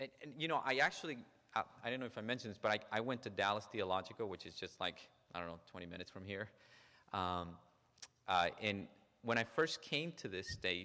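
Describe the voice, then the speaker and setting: With a slight non-native accent, a man with a fairly low, bright and sharp voice talks at a fairly quick pace with lively intonation, big swings in loudness, and long, frequent pauses. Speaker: psychologist. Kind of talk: lecture. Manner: frequent repetitions and false starts.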